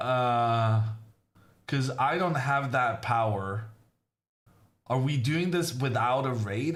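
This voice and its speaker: A man with a medium-pitched voice speaks at a very slow pace, his intonation lively. Room echo is audible. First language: not English. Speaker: chess grandmaster commentator. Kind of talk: live commentary. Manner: casual, chatty.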